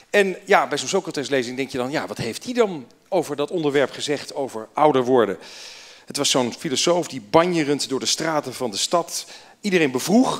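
This man has a plain, everyday voice, pitched fairly high, with lively intonation and a moderate pace. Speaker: association chairman. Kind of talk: welcome speech. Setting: stage with audience. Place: hall. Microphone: handheld.

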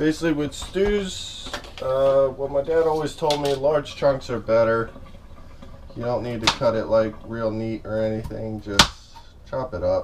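The speaker talks at a fairly slow pace with ordinary pitch variation. Noticeable background noise is present. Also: man. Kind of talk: casual vlog chat. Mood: relaxed, reflective. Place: kitchen. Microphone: camera far.

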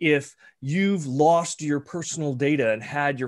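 A man talks with ordinary pitch variation, the background around him quiet. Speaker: cybersecurity executive; guest. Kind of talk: conference presentation. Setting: video call. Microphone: video call.

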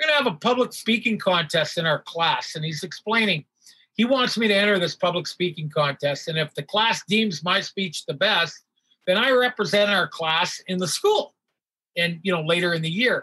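This man's voice is high-pitched, raised and projected, bright and sharp, with a Canadian accent and lively intonation. The sound is dry and close, with no echo. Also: moderate pace. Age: 60s. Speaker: hockey athletic trainer and stand-up comedian. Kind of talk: casual interview with storytelling.

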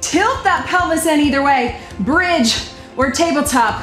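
The room gives off an audible echo. Faint music plays in the background. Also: woman. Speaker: fitness instructor. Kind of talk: workout instruction cueing. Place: studio.

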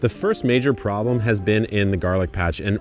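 Music runs in the background as a man speaks at a fairly quick pace, the sound dry with no echo. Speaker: gardening channel host. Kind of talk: tutorial vlog chat. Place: garden. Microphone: phone near.

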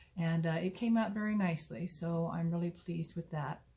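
This woman's voice is somewhat breathy, fairly low in pitch and dark and mellow in tone, with fairly even intonation. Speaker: knitting podcast host. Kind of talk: casual vlog chat. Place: home room. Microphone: phone near.

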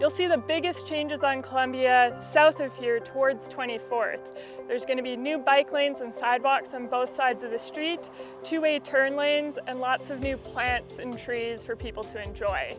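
A woman at a moderate pace, dry sound with no echo, clear music in the background. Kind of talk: interview explanation. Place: street.

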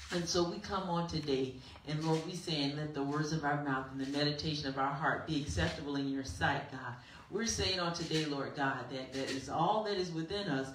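With audible room echo and light background noise, a woman speaks in a very deep, low pitch. Her pace is fairly quick and her pitch varies in an ordinary way. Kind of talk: spoken prayer. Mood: fervent, worshipful. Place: church. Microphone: handheld.

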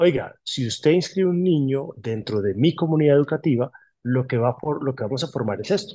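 This man talks at a fairly quick pace, his pitch fairly high, with ordinary variation in it. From Colombia, Caribbean coast (Barranquilla-born, raised Bogotá); Colombia. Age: 40s. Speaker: publishing company manager. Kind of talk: interview. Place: office. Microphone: phone near.

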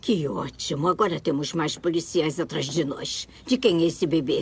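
A raspy, put-on character voice at a middle pitch and moderate pace, with clear background noise. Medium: fan dub. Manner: sardonic, domineering.

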